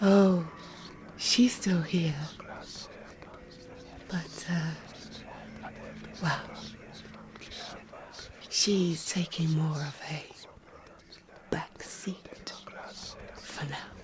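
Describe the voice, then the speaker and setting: In a put-on character voice, a woman speaks raspy and fairly low pitched at a very slow pace. Long, frequent pauses break her speech over light background noise. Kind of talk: audio drama roleplay. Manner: formal, wondering.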